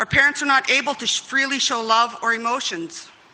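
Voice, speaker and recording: A woman speaks with a fairly high pitch and ordinary pitch variation. Her pace is moderate, with noticeable background noise. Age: 50s. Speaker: community member, intergenerational residential school survivor. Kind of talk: testimony.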